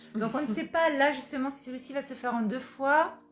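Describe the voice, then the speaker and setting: Her intonation is lively and her pitch high. The woman keeps a fairly quick pace. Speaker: energy healer.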